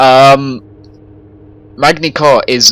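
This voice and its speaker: Amid noticeable background noise, a man with a British accent talks at a very slow pace. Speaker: gaming streamer. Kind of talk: live gameplay commentary. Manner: loud; animated.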